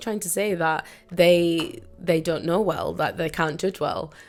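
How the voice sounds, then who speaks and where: A woman with a British accent speaks at a fairly slow pace with fairly even intonation. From Britain. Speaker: lifestyle and mindset YouTuber, coach. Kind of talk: motivational talk to camera. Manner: casual, conversational.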